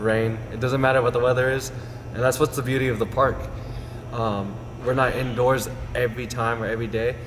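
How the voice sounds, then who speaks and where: Speaking with an American accent, a man of medium pitch uses monotone, flat intonation at a fairly quick pace. Long, frequent pauses break up his speech, with audible room echo and noticeable background noise. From Las Vegas, Nevada. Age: 20s. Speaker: personal trainer. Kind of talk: interview.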